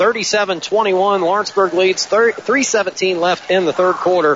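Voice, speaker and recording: A man speaks over noticeable background noise. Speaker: play-by-play announcer. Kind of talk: live sports commentary. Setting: gym broadcast, courtside at the game.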